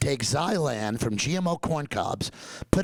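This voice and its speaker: Lively intonation at a moderate pace, with a dry, close sound, no echo, and noticeable background noise. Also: man. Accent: New York. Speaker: dentist and professor. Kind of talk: lecture. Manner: animated.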